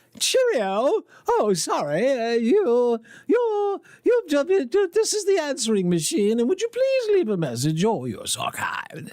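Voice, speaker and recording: At a fairly slow pace, a man performs a put-on character voice pitched extremely high. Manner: cheerful, clipped.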